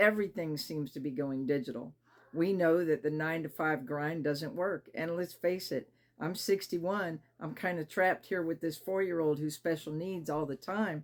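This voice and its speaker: A woman speaks at a moderate pace with a fairly low pitch. She has a normal speaking voice with ordinary pitch variation. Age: 60s. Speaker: online marketer and YouTuber. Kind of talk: personal pitch to camera. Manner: casual, with frequent fillers.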